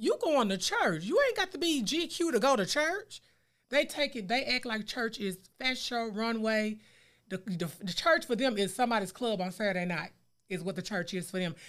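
On a very clean recording with a silent background, a woman with a fairly high voice speaks at a moderate pace with very wide pitch swings. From US South, West Memphis, Arkansas. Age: 40s. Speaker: podcast co-host, 911 dispatcher. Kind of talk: casual chat.

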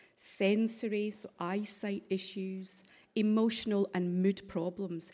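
A woman's very slow, medium-pitched voice in a strong Scottish accent, dark and mellow in tone, with fairly even intonation on a very clean recording with a silent background. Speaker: stroke charity director. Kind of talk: conference presentation. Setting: parliament auditorium.

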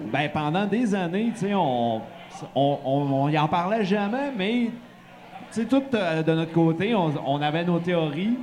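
This man talks very slowly in a high pitch with lively intonation. Audible room echo and noticeable background noise surround his voice. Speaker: podcast co-host. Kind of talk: casual chat. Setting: bar stage with live audience.

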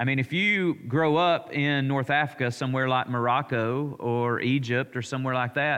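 In an Alabama accent, a man speaks at a moderate pace. His pitch is fairly high, with ordinary variation. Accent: Southern US (Alabama). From US South, Alabama. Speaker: pastor. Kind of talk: Bible study teaching. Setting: church. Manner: conversational.

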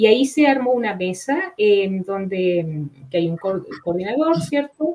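Pitch swings very widely as a woman speaks. Her pace is very slow. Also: medium pitch for a woman. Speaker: cybersecurity professor and researcher. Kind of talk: expert interview. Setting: online live show.

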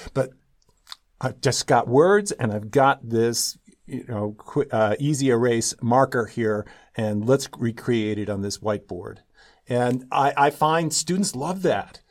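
A man with a plain, everyday voice and a medium pitch talks at a fairly slow pace with lively intonation on a very clean recording with a silent background. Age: 60s. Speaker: professor. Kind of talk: interview.

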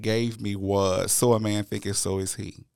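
A man with a Louisiana accent speaks at a fairly slow pace and a fairly low pitch. His intonation is monotone and flat, and the recording is very clean with a silent background. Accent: Louisiana Southern US. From Louisiana (Natchitoches). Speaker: podcast host, educator. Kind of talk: interview.

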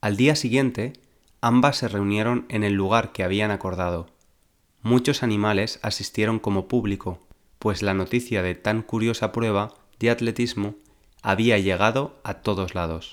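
In a normal speaking voice, a man talks at a fairly slow pace with fairly low pitch and ordinary pitch variation on a very clean recording with a silent background. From Valencia, Spain. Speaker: Spanish teacher, podcaster. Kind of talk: storytelling, reading a fable aloud; language-learning podcast for intermediate learners. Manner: slow, clear enunciation.

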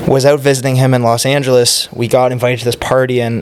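With an Ontario accent, a man talks at a medium pitch in a monotone, flat way over noticeable background noise. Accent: Canadian (Ontario). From Ontario, Canada (Oakville, near Toronto). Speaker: sports league founder. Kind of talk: casual chat.

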